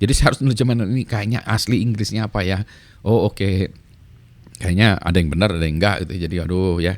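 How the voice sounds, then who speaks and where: Very fast, a man talks in a fairly low pitch with ordinary pitch variation, in a very clean recording with a silent background. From Indonesia, Bandung (West Java). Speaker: YouTuber, lecturer. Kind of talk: casual vlog monologue, code-switching. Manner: halting, self-correcting.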